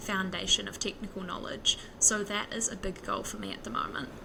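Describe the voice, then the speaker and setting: A woman with a New Zealand accent, over noticeable background noise. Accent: Kiwi. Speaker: software developer, podcaster. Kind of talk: interview. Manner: fast.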